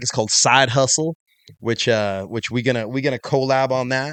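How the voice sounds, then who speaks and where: A man with an ordinary speaking voice talks fairly quickly at medium pitch, with ordinary pitch variation. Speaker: fitness industry entrepreneur and coach. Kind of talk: casual interview.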